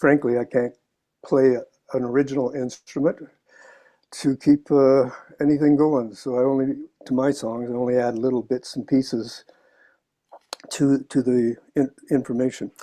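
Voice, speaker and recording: Against a quiet background, a man speaks in a dark, mellow tone at a medium pitch and a moderate pace, monotone and flat, with long, frequent pauses. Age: 70s. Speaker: amateur songwriter. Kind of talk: casual chat. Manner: halting.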